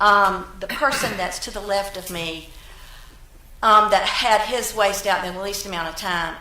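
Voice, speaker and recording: A woman talks at medium pitch and a moderate speed, with audible room echo and noticeable background noise around her. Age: 60s. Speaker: resident speaking at public comment. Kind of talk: public comment at council meeting. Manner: halting.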